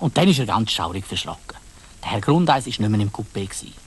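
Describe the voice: Talking at a fast pace, a man uses a fairly low pitch with big swings up and down.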